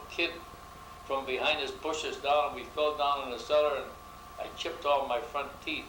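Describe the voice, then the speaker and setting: With an American accent, a man speaks at a fairly quick pace over noticeable background noise and audible room echo. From US Northeast, Rochester, New York. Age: 80s+. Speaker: longtime neighborhood resident. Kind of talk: oral history interview. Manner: halting, with fillers.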